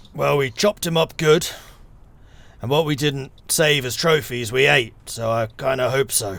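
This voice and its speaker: A man puts on a raspy character voice at medium pitch. He projects it loudly at a moderate pace. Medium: actual play. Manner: blunt, gruff, terse.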